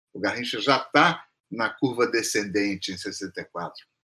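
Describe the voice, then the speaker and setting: Bright and sharp in tone, a man's voice moves at a fairly slow pace. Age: 60s. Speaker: music professor and composer. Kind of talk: casual chat. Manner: halting.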